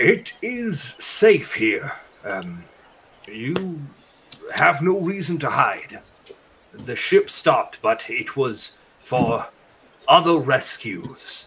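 A man speaks at a high pitch. His pace is very slow, with long, frequent pauses. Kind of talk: fantasy roleplay. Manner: formal, reserved, measured.

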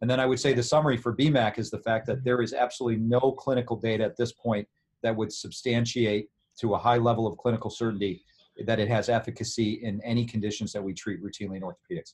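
A man talks at a very fast pace with fairly even intonation. His voice sounds somewhat breathy. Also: medium pitch for a man. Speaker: orthopedic surgeon. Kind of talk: interview.

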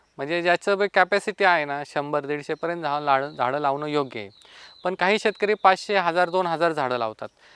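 Recorded dry and close with no echo over a quiet background, a man with a plain, everyday voice speaks at a fairly high pitch with ordinary pitch variation. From Maharashtra, Pune district (Ambegaon). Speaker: farmer. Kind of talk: interview testimony.

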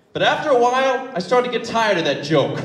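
A man is speaking. There is audible room echo. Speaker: slam poet. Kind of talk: live spoken word performance. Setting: live venue. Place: stage. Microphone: handheld.

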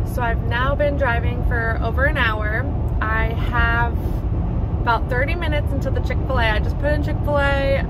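A moderate pace in a dry sound with no echo, set against loud background noise. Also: woman. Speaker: vlogger on a solo road trip. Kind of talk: casual vlog chat. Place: car. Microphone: phone near.

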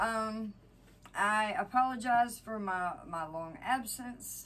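A woman's voice over light background noise. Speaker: home vlogger. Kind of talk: casual vlog chat. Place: home room. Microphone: camera far.

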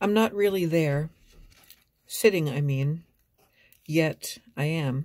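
A woman speaks at a very slow pace with long, frequent pauses. The background is quiet. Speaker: vlogger and amateur poet. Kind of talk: poetry reading, reflective and personal. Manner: slow, contemplative and measured, with a hushed, wistful cadence. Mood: quiet, reflective. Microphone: phone near.

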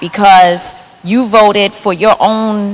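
A woman speaks at a medium pitch. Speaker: activist; panelist. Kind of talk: panel discussion. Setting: stage with audience. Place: stage. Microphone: handheld.

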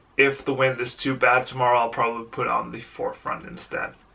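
Music plays behind the speaker. He is a man. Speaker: amateur cyclist vlogger. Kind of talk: casual vlog chat. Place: home room. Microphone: phone near.

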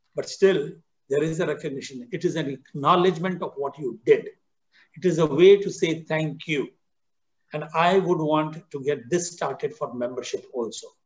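A man's voice, with ordinary pitch variation, moves along at a moderate speed. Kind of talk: Q&A answer, address to members. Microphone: video call.

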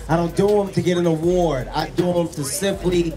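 A man's high pitch at a moderate pace, with faint music in the background. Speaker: event host addressing runners. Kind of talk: motivational speech to crowd. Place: street. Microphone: handheld.

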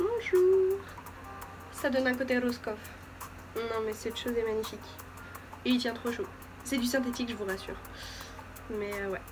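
Lively intonation and a playful tone, with long, frequent pauses and music in the background. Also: woman, high pitch for a woman, moderate pace. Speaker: beauty vlogger. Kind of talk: casual talk to camera, fashion haul. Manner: playful, chatty. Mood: playful, joking. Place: home room. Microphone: phone near.

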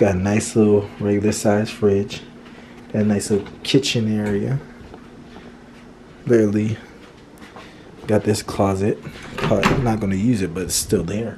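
At a moderate pace, a man talks with long, frequent pauses against noticeable background noise. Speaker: vlogger. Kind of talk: casual vlog chat. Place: home room. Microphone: phone near.

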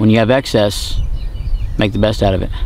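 Over light background noise, a man speaks in a monotone, flat intonation with a dry sound with no echo. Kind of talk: tutorial. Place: open country.

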